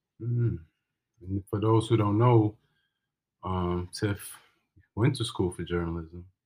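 A man's fairly low, somewhat breathy voice, dark and mellow in tone, at a very slow pace with long, frequent pauses, in a very clean recording over a silent background. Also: ordinary pitch variation. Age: 30s. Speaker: podcast co-host. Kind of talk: casual chat.

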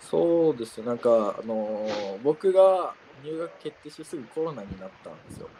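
At a moderate pace, the voice makes big swings in loudness and very wide pitch swings over noticeable background noise. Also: man, fairly high pitch for a man. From Japan, Yamanashi. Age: 20s. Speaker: university student. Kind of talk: casual chat. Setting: outdoors.

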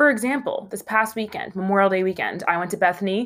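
A woman with a fairly bright tone speaks at a moderate pace, her pitch varying in an ordinary way.

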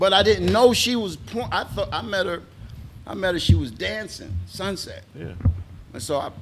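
With an American accent, a man speaks at a moderate pace, with big swings in loudness. Noticeable background noise is present. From Atlanta, US South. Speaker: stand-up comedian. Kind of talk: casual interview chat.

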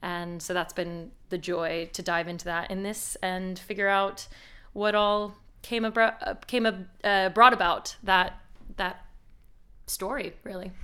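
A woman with a bright, sharp tone and medium pitch speaks at a fairly slow pace with fairly even intonation, on a very clean recording with a silent background. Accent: non-native. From outside the UK. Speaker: actor. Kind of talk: interview.

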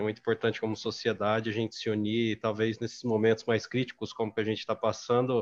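Against a quiet background, a man talks at a very fast pace with a medium pitch. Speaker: process analyst, panelist. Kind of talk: live-streamed panel discussion.

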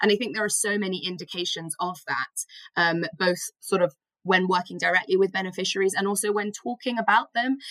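At a fairly quick pace, the speaker uses a normal speaking voice with ordinary pitch variation. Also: woman, medium pitch for a woman. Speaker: podcast host and volunteer. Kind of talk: casual podcast conversation.

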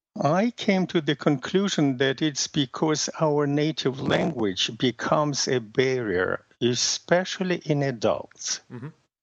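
With a Russian accent, the speaker goes at a fairly slow pace with hardly any pauses. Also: man, fairly high pitch for a man, lively intonation. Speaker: language method creator, former interpreter. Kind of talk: interview. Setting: phone call. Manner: hesitant, many fillers.

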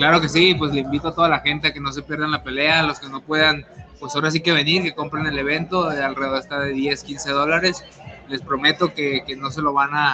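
With music in the background, a man with a fairly high pitch talks at a fairly quick pace in a monotone, flat intonation. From Tijuana, Mexico. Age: 20s. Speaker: professional boxer. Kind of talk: interview.

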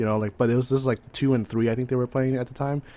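With an American accent and fairly even intonation, this is a plain, everyday voice. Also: man. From California. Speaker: podcast co-host. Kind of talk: casual chat.

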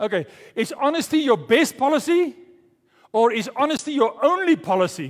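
With very wide pitch swings, a man speaks at an extremely high pitch. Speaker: pastor. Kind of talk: sermon. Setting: church. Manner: fast talker.

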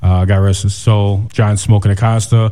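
A man's fairly low-pitched voice at a fairly slow pace. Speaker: radio DJ host. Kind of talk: radio DJ patter. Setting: radio studio. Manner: upbeat, energetic radio-host delivery.

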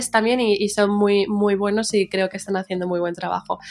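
At medium pitch, a woman speaks with monotone, flat intonation. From Madrid, Spain and New York. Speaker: media founder. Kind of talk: interview. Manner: halting, with many fillers.

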